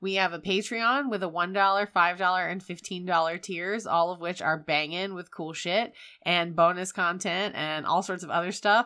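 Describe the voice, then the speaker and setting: A woman with an American accent, medium pitch and a bright, sharp tone, at a moderate pace with fairly even intonation and hardly any pauses, on a very clean recording with a silent background. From Wilmington, North Carolina. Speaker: podcast co-host. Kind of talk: casual chat.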